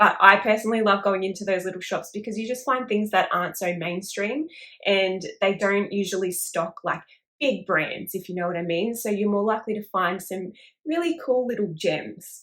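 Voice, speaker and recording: A woman with an Australian accent speaks in a medium pitch at a moderate pace with ordinary pitch variation. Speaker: crochet YouTuber. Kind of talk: casual talk to camera.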